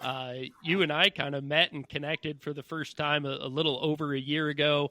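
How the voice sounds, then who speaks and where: Talking at a fairly quick pace, a man uses a plain, everyday voice with fairly even intonation. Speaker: podcast host. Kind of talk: interview.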